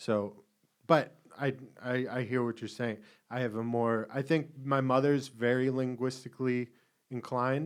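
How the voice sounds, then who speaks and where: With a slight Boston accent, a man talks at a moderate pace and a medium pitch, his intonation monotone and flat and his speech broken by long, frequent pauses. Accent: slight Boston accent, rarely noticed. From Boston area. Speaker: podcast co-host. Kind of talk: casual chat.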